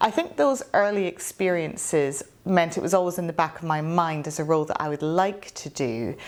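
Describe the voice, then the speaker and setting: Hardly pausing, a woman with a Scottish accent talks at a fairly low pitch with ordinary pitch variation. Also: moderate pace. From Scotland. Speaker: barrister. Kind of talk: interview.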